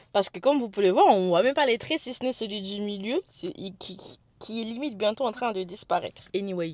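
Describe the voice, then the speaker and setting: A woman talks in a fairly high voice whose pitch varies in an ordinary way. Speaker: vlogger. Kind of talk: vlog. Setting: in a car. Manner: fast; halting.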